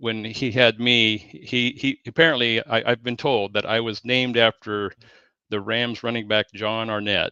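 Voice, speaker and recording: A man's bright, sharp voice at a medium pitch and fairly slow pace, fairly even intonation, dry, close sound with no echo and a quiet background. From Southeast Washington, US. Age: 60s. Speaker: sports fan guest. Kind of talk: casual interview chat. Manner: halting, many fillers and repeats.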